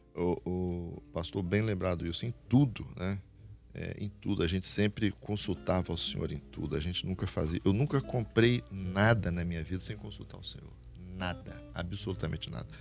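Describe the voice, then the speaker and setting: This man has a very deep, low pitch and lively intonation. Music plays in the background. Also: moderate pace. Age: 60s. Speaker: pastor. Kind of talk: testimony.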